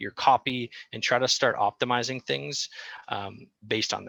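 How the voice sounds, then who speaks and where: This man's bright, sharp tone comes through a very clean recording with a silent background and a dry, close sound with no echo. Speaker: marketing consultant presenter. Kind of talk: workshop presentation. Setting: workshop with audience. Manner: fast.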